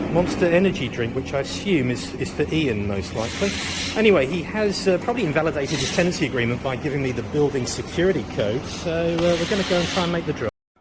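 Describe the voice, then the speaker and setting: Talking at a very fast pace, a man with a fairly high pitch uses lively intonation, with noticeable background noise and audible room echo. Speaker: friend delivering supplies. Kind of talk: vlog narration. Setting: outdoors.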